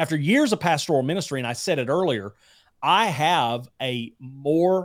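A man with a Southern US accent, lively intonation and a moderate pace. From Alabama. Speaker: YouTube Bible teacher and entrepreneur. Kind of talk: casual interview chat.

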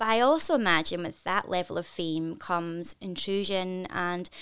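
Her intonation rises and falls in a lively way. The woman's pitch sits in the middle of her range. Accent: Scottish. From Scotland. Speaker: podcast host and actor. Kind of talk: interview. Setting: video call.

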